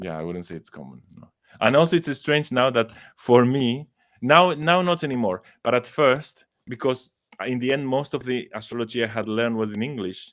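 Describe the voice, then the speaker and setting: A man with an Argentine accent speaks at a moderate pace and medium pitch, with lively intonation and big swings in loudness. The recording is very clean, with a silent background. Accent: non-native English, Argentine Spanish. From Argentina. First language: Spanish. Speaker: astrologer and psychologist. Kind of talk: interview conversation. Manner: halting, with fillers.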